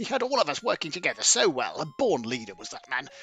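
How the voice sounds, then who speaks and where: Putting on a character voice, a man races along at a very fast pace with very wide pitch swings. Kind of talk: archaic faux-courtly speech. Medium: solo performance. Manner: affected, snobbish, archaic.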